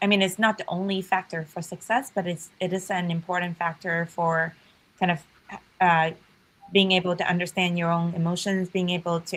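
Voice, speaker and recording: This woman has a Chinese accent and a fairly low pitch, speaking at a moderate pace. Her voice is somewhat breathy, with monotone, flat intonation. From China, rural village. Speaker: startup founder and CEO. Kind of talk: podcast interview.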